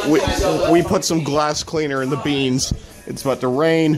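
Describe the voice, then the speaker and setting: A man's fairly high voice at a moderate pace, fairly even in intonation, over clear background music. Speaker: vlogger. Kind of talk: casual talk to camera. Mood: joking, offhand. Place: home room. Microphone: phone near.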